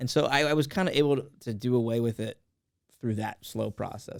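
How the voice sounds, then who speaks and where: A man speaks very fast with an American accent. His pitch varies in an ordinary way. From California, Los Angeles County. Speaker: comedian. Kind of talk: casual chat.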